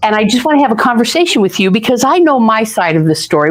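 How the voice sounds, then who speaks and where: Amid noticeable background noise, a woman talks in an animated tone at a very fast pace, her fairly high pitch making very wide swings. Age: 60s. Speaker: podcast host, teacher. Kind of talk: casual interview.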